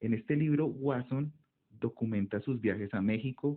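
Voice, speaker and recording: This man speaks with a Colombian accent. His pace is fairly slow and his intonation fairly even. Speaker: ethnomycology researcher. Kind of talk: monologue talk.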